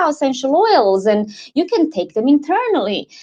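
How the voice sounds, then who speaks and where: A woman with a slight Croatian accent speaks with very wide pitch swings. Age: 40s. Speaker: wellness advocate. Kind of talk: interview. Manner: halting.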